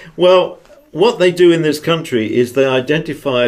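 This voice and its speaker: Here a man talks at a moderate pace with lively intonation. He speaks with a British accent. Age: 70s. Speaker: retired intelligence officer and author. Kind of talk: interview.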